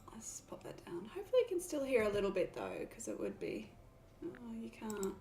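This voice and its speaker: A woman with an Australian accent speaks at a fairly quick pace, her loudness swinging widely. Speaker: gaming streamer. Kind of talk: let's play commentary. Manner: casual.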